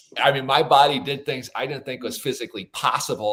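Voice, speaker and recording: Speaking with an American accent, this man goes at a very fast pace. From Minnesota, US Midwest. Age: 40s. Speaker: author and keynote speaker. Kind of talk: podcast interview.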